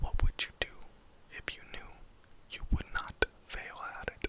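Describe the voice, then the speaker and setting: A man whispering at a moderate pace over noticeable background noise. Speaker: ASMR creator. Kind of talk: ASMR personal attention questions. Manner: whispered.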